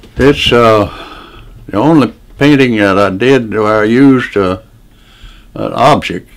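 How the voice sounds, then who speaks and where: Against music in the background, a man with an American accent speaks very slowly in a fairly low pitch with ordinary pitch variation. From Deep South, USA. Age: 80s+. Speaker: painter, war veteran, retired geographer. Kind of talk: interview answer. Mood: reflective, reminiscing. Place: home room.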